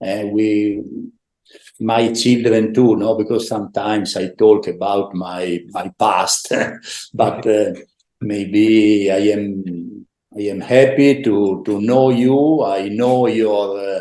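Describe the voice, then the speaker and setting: A man's fairly low, dark and mellow voice in an Italian accent, very slow, with ordinary pitch variation. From northeast Italy, Udine. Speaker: former volleyball player and coach. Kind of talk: interview. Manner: halting.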